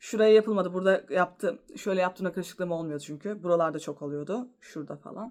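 Here a woman with a medium pitch speaks in a plain, everyday voice. Her intonation is lively. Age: 30s. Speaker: vlogger. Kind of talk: casual vlog monologue.

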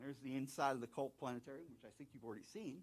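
A man with an American accent at medium pitch, at a very fast pace. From southeastern North Carolina. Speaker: planetarium director. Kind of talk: conference talk. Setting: stage with audience and online viewers. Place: hall. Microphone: handheld.

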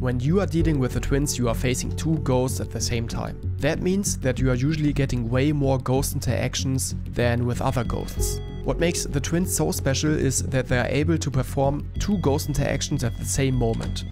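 With music in the background, someone with a German accent speaks at a moderate pace and with hardly any pauses. The voice makes very wide pitch swings. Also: man, medium pitch for a man. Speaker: gaming streamer. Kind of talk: game tutorial narration.

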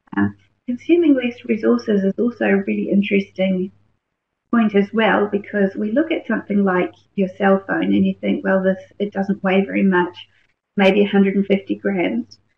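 A woman with a New Zealand accent and a medium-pitched voice. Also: ordinary pitch variation, moderate pace. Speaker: research scientist. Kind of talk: webinar presentation. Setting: online webinar.

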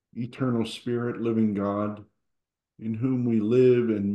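A man speaks very slowly in a calm, soothing tone, his fairly low voice moving with fairly even intonation against a quiet background with audible room echo. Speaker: service leader. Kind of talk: guided prayer. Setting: church. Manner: calm, soothing, slow and gentle. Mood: calm, quiet, devotional. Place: home room. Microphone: video call.

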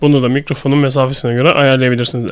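Speaking fast at a medium pitch, a man keeps his intonation fairly even.

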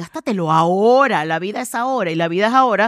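Speaking at a fairly quick pace with lively intonation, a woman is heard in a dry sound with no echo against a quiet background. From Panama. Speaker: communications trainer and speaker; communications trainer, speaker. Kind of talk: interview conversation. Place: studio. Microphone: headset.

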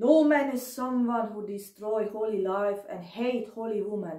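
In a German accent, a woman speaks very slowly at a fairly high pitch with ordinary pitch variation, audible room echo and a quiet background. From Germany, near Dresden, then Hungary from age 11; Germany. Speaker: video blogger. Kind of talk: personal testimony monologue; emotional monologue. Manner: halting. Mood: angry, aggrieved. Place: home room. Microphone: phone near.

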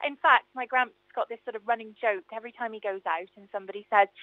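A woman talks at a very fast pace with a South Welsh accent. Her pitch is fairly high and her intonation fairly even. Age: 20s. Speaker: singer and radio travel presenter. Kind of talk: casual chat. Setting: radio studio.

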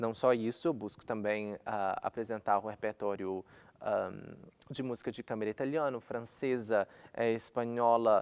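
A man talks at a moderate pace with a medium pitch and fairly even intonation. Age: 20s. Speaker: opera singer. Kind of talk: monologue. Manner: halting. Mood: calm, reflective. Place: studio.

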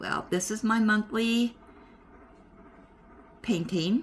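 A woman is talking. There is light background noise. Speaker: craft hobby vlogger. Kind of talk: casual vlog chat. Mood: warm, welcoming, relaxed. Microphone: phone near.

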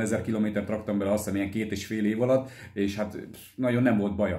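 Speaking at a very fast pace, a man delivers monotone, flat intonation in a dark, mellow tone, with audible room echo and a quiet background. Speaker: motorcycle vlogger. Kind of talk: casual Q&A vlog chat. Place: home room. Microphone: phone near.

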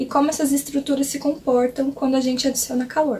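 There is light background noise as a woman speaks. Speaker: cooking teacher. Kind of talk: lecture. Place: home room.

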